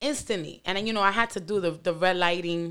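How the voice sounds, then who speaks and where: A woman's fairly low voice on a very clean recording with a silent background. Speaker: podcast host. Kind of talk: casual podcast commentary.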